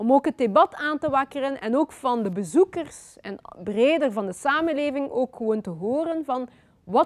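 A woman with a high pitch and lively intonation talks at a moderate pace, her voice dry and close with no echo. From Belgium (Flanders), born in Congo. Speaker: author. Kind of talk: lecture. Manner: hesitant, with many fillers.

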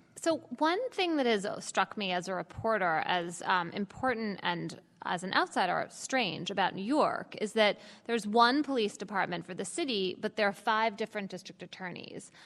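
An ordinary speaking voice comes from a woman at a medium pitch, speaking at a moderate pace with lively intonation on a very clean recording with a silent background. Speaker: author and journalist moderator. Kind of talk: moderated panel conversation. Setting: live event with audience.

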